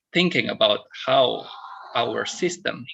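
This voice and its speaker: This man speaks with an Indonesian accent. His pace is fairly slow. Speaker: discussion moderator. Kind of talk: online panel discussion.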